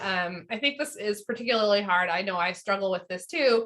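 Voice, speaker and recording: Speaking fairly quickly, a woman uses a medium pitch with ordinary pitch variation and a bright, sharp tone. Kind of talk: online training presentation. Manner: fast; filler-heavy, conversational.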